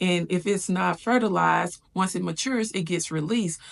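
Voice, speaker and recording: A woman's normal speaking voice at a fairly low pitch and a fairly quick pace, against a quiet background. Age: 30s. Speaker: lifestyle vlogger. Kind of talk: personal vlog.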